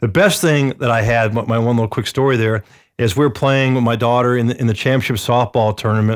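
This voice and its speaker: A man with an American accent speaks at a fairly quick pace and medium pitch, with fairly even intonation and an unremarkable speaking voice. The recording is very clean, with a silent background. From Atlanta, US South. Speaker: real estate agent. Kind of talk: casual chat.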